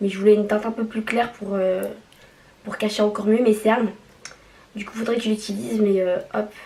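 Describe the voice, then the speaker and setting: Amid noticeable background noise, a woman at a fairly high pitch talks at a fairly quick pace with flat, monotone intonation, big swings in loudness, and long, frequent pauses. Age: 20s. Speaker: nurse. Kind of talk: casual makeup haul talk to camera.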